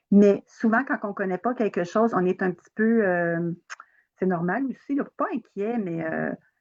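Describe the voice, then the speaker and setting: A woman's normal speaking voice, medium in pitch, with ordinary pitch variation, a fairly slow pace and a dry, close sound with no echo. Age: 60s. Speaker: holistic therapist and trainer. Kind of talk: interview. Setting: live video stream on social media.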